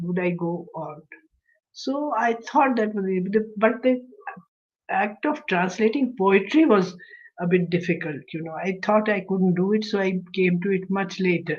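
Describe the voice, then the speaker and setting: Speaking at a fairly slow pace, a woman with a Kashmiri accent uses a medium pitch and ordinary pitch variation. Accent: Kashmiri Indian English. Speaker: translator and retired English professor. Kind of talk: interview.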